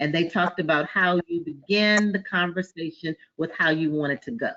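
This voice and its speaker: Her voice is fairly low in pitch for a woman, with fairly even intonation. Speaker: financial services professional sharing business advice. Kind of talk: group discussion on a business webinar. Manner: fast.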